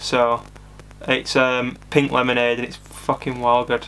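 A man speaks slowly at medium pitch in a bright, sharp tone with monotone, flat intonation over faint background noise.

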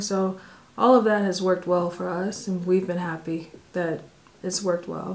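A woman with an American accent speaks at a moderate pace in a flat, monotone intonation. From United States. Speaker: family travel vlogger. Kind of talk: casual Q&A chat. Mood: calm, relaxed. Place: home room.

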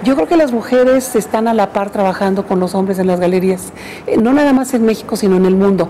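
With ordinary pitch variation and very even loudness, a woman talks at a fairly quick pace over light background noise. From Mexico, Parral, Chihuahua. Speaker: museum director. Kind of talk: interview. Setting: museum director's workplace. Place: home room.

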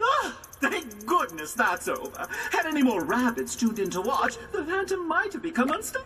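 A woman puts on a character voice, high-pitched and bright, sharp in tone, with very wide pitch swings at a moderate pace, over audible room echo and faint music in the background.

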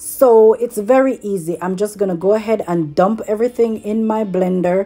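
With faint music in the background, a woman speaks at a fairly slow pace and with ordinary pitch variation. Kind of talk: tutorial. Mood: relaxed, cheerful. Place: kitchen. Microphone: phone near.

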